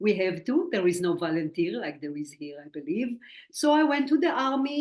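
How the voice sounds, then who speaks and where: A woman's fairly high voice with very wide pitch swings and a slight Israeli accent. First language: Hebrew. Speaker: spiritual medium. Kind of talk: interview.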